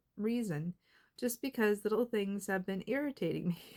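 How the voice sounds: Her intonation is lively. The woman's tone is slightly mellow.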